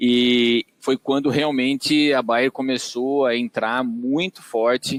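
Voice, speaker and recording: A man with a São Paulo interior accent is heard in a dry, close sound with no echo. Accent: caipira accent from São Paulo interior. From Brazil, Tatuí, São Paulo interior. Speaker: agronomist and digital business executive. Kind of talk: podcast interview. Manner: hesitant, many fillers.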